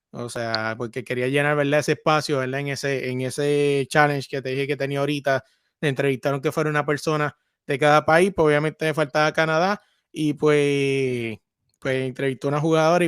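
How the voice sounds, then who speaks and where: Someone with a Puerto Rican accent talks at a fairly quick pace with fairly even intonation, the sound dry and close with no echo. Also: man, fairly high pitch for a man. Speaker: sports podcaster. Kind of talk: casual interview. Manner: repetitive, stammering.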